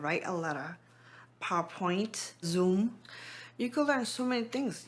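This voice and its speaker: A woman with a non-native accent speaks at a fairly slow pace with ordinary pitch variation. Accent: foreign. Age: 40s. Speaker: program participant. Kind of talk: testimony.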